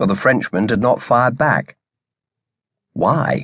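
With vocal fry and lively intonation, a man speaks at a fairly slow pace. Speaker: audiobook narrator. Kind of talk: dramatic audiobook narration of a naval battle scene.

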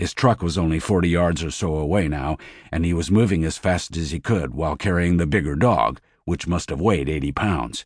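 A man with a very deep, low pitch and vocal fry delivers a dramatic tone at a fairly quick pace, with ordinary pitch variation over a quiet background. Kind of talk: audiobook narration of a crime thriller, read aloud with character dialogue. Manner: dramatic, brisk storytelling pace with tense, punchy action beats.

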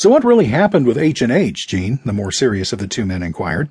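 Against a quiet background, a man with a medium-pitched, somewhat breathy voice talks at a fairly quick pace. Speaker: audiobook narrator. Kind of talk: audiobook narration, reading a memoir aloud. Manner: measured, storytelling pace; shifts to a gruff, confrontational tone for quoted dialogue.

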